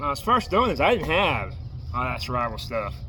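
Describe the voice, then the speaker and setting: Through audible room echo and noticeable background noise, a man is heard speaking. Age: 40s. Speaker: homeless traveler vlogger. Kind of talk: casual vlog showing gear. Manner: stutters; casual, hesitant.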